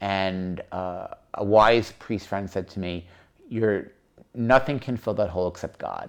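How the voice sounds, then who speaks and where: Fairly low male voice with an American accent, fairly even intonation and a fairly slow pace, over a quiet background. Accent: occasional New York. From New York, Long Island. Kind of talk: interview, personal testimony.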